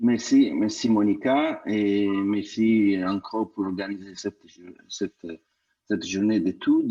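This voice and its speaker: Against a quiet background, a man with a non-native accent speaks very slowly. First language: not French (speaking French). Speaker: law lecturer. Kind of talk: audience question. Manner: halting, repeats words.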